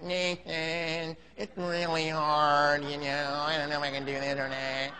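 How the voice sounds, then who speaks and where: In a put-on character voice, a man speaks fairly slowly with a fairly high, nasal, whiny delivery against light background noise. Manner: whiny, pleading.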